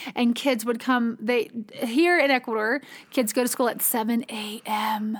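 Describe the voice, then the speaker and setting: In a normal speaking voice, the speaker talks at a fairly slow pace with fairly even intonation. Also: woman, fairly high pitch for a woman. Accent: American. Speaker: nonprofit co-founder and podcast host. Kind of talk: casual podcast conversation.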